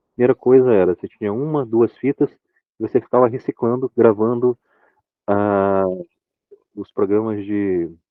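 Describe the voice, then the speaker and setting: Moderate pacing broken by long, frequent pauses, with ordinary pitch variation. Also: man, medium pitch for a man. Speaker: sci-fi fan club member. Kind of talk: casual chat. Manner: hesitant, many fillers.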